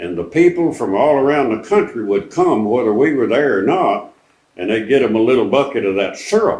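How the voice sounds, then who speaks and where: A man speaks at a fairly quick pace with an East Texas accent. His pitch is medium and swings very widely. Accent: East Texas Southern American. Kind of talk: interview answer. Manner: folksy storytelling.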